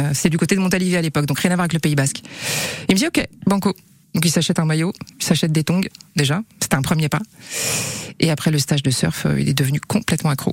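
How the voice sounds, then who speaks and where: Very deep, low pitch from a woman at a very fast pace, broken by long, frequent pauses, with ordinary pitch variation and very even loudness, a dry, close sound with no echo, and noticeable background noise. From western France (Angers), childhood in Gabon. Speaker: TV screenwriter and author. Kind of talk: radio interview.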